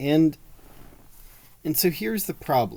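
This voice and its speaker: A man's voice swings very widely in pitch, captured on a very clean recording against a silent background. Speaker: podcast host. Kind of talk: casual monologue on politics.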